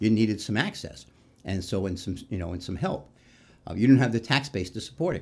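On a very clean recording with a silent background, a man speaks fairly quickly in a fairly low, somewhat breathy voice. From New York City, Queens. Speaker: retired firefighter and union leader. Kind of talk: interview conversation. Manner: halting, many false starts.

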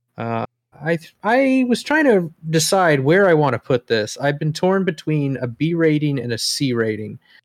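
The recording is dry and close with no echo. A man with an unremarkable speaking voice talks fairly slowly at a fairly high pitch. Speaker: whiskey podcast host. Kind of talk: casual chat.

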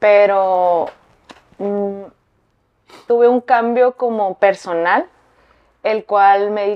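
Her pitch medium, a woman talks with fairly even intonation. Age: 30s. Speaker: fashion designer. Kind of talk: interview.

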